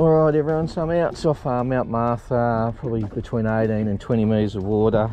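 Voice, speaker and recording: The man talks at a moderate pace with ordinary pitch variation. The sound is dry with no echo, and faint music plays in the background. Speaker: fishing channel host. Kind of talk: casual vlog chat. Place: boat. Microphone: phone near.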